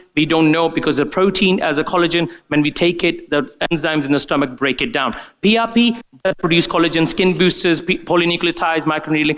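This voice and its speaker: At a very fast pace, a man speaks in a high pitch. His loudness stays very even, and his pitch varies in an ordinary way. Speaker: doctor giving a product training talk. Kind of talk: conference presentation. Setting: conference room with live audience. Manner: hesitant, many fillers.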